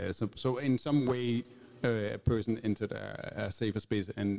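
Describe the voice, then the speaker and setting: Intonation stays fairly even while the pace is moderate. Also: man. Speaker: music agency founder. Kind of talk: panel discussion. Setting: stage with audience.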